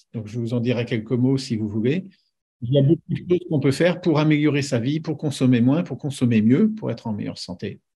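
Against a quiet background, a man at medium pitch talks at a fairly quick pace with lively intonation and a dark, mellow, somewhat breathy tone. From France, Paris region. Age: 60s. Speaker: nuclear engineer. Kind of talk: casual interview. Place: home room. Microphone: video call.

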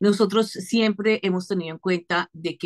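The background is quiet. A woman speaks at a moderate pace with ordinary pitch variation. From Venezuela. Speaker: film festival artistic director. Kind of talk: interview. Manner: animated. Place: home room. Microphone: video call.

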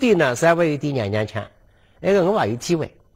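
Against a quiet background, a man talks in an animated tone with very wide pitch swings. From Suzhou, China; China. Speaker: lecturer on local history. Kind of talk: lecture. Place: studio. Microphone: lapel.

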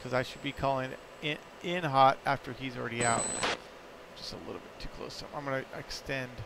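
Speaking at a fairly quick pace with long, frequent pauses, a man with a medium pitch uses a monotone, flat intonation over noticeable background noise. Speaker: flight sim stream host and flight lead. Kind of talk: radio dispatch, flight-lead briefing and callouts. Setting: live stream with voice chat. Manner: clipped, procedural; brisk, matter-of-fact.

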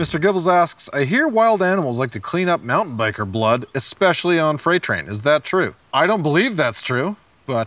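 A man with a Canadian accent, very wide pitch swings, and a dry sound with no echo. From Calgary, Canada; Canada. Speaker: bike park host. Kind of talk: scripted comedic presentation. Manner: animated; fast. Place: studio.

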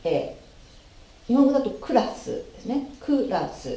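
Fairly slow speech with audible room echo. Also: woman. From Japan. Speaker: English pronunciation teacher. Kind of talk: tutorial. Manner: formal. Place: home room. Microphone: camera far.

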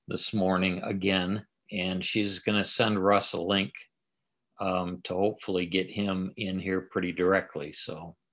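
A man speaks at a fairly slow pace in a very deep, low voice, his intonation flat and monotone against a quiet background. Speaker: meeting host. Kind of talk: meeting hosting remarks. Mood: friendly, informal. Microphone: video call.

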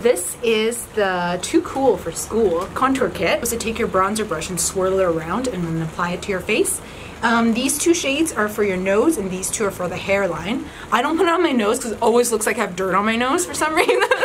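A woman's fairly high voice at a fairly quick pace, with very wide pitch swings and noticeable background noise. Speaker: beauty YouTuber. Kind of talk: casual chat. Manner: laughing often; loud. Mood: cheerful, playful. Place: home room. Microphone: camera far.

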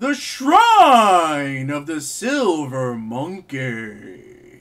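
Putting on a character voice, a man speaks very slowly in a dramatic tone, his fairly high pitch swinging very widely. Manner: dramatic, grand.

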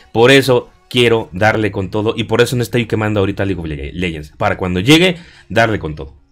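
Music in the background behind a fairly low-pitched man with lively intonation at a moderate pace. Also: big swings in loudness. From Mexico. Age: 30s. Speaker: gaming YouTuber. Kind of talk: casual vlog monologue. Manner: hesitant, many fillers.

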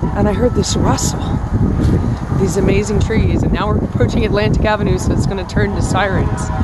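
Over loud background noise, a woman speaks at a fairly quick pace, the sound dry with no echo. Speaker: vlogger. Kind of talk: casual vlog chat. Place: street. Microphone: phone near.

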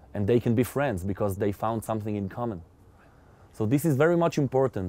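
A man's dark, mellow voice in an Israeli accent, with ordinary pitch variation and a dry sound with no echo. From Israel, Jaffa. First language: Hebrew. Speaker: metal singer; interviewee. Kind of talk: interview. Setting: outdoors. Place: open country.

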